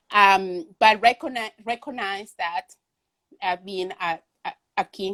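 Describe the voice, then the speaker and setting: A woman speaks fairly slowly with an ordinary amount of pitch variation in a Venezuelan accent. The recording is very clean, with a silent background and a dry, close sound with no echo. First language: Spanish. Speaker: artist. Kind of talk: interview conversation. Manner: halting, many fillers.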